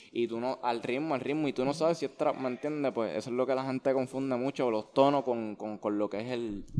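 A man talks at a fairly quick pace with hardly any pauses. His medium-pitched voice has a dark, mellow tone and fairly even intonation. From Puerto Rico, Levittown (Toa Baja). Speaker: urban music artist. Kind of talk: casual interview.

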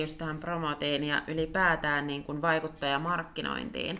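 A woman's very deep, low voice at a fairly slow pace, over noticeable background noise. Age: young. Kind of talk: casual interview. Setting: studio.

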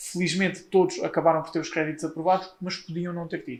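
Intonation stays fairly even while the words come at a fairly quick pace. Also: man. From Portugal, Leiria. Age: 20s. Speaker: solicitor. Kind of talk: interview. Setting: office.

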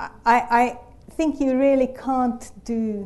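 A woman with a non-native accent, a dark, mellow tone and a very slow pace. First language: not English. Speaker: human geneticist. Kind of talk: panel discussion. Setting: live event with audience.

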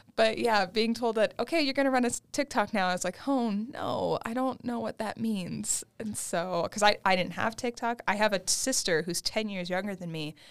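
In an ordinary speaking voice, a woman keeps a moderate pace and a medium pitch with ordinary variation. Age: 20s. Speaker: graduate student and museum engagement associate. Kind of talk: casual chat.

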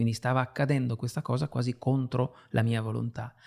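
A man's normal speaking voice, medium in pitch, at a fairly quick pace with fairly even intonation, in a dry, close sound with no echo and a very clean recording with a silent background. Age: 50s. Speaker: writer and illustrator. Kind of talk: interview.

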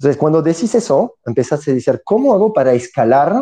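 A man's dark, mellow voice with lively intonation, dry and close with no echo. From southern France, near Montpellier. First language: French (speaking Spanish). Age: 30s. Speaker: entrepreneur. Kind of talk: interview.

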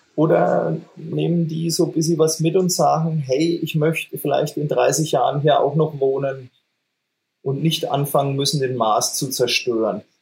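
A man talks in a plain, everyday voice at a fairly high pitch. His intonation stays fairly even and his pace is fairly slow. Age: 40s. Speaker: metal band singer and guitarist. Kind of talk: casual chat.

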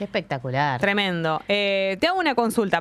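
With noticeable noise in the background, this woman's voice sits at a medium pitch. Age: 40s. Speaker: radio host. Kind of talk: casual chat.

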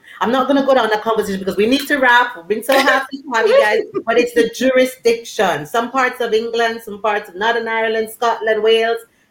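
The woman talks very fast, her pitch fairly high and her intonation fairly even. Background noise is noticeable throughout. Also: big swings in loudness. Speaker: podcast co-host. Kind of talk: live-streamed podcast discussion.

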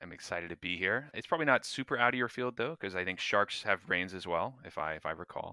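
Recorded very cleanly with a silent background and a dry, close sound with no echo, a man with an American accent races at a very fast pace with hardly any pauses, his very deep, low pitch carrying a bright, sharp tone and lively intonation. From North Florida, US. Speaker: neuroscience PhD graduate. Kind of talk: casual interview chat.

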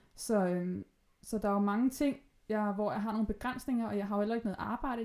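A woman speaks at a very fast pace with a dark, mellow tone. Her intonation stays fairly even. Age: 20s. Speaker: podcast guest with bipolar disorder. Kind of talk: casual chat. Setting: at guest's home, sewing machine in background.

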